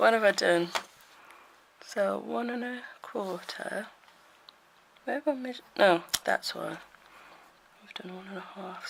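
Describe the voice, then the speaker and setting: In a put-on character voice at a middle pitch, the speaker mumbles at a moderate pace with long, frequent pauses. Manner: mumbling to self.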